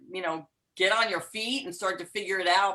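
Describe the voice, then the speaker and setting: A woman with a New York accent talks at a fairly quick pace in a bright, sharp tone and a medium pitch. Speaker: empowerment coach. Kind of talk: casual chat. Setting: video call.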